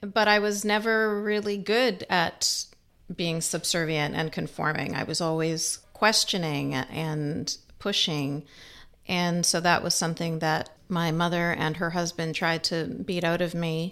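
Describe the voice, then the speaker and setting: At a fairly slow pace, a woman with a Canadian accent speaks in a normal speaking voice, fairly low in pitch with ordinary pitch variation, on a very clean recording with a silent background. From Canada. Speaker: human rights activist and author. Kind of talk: interview.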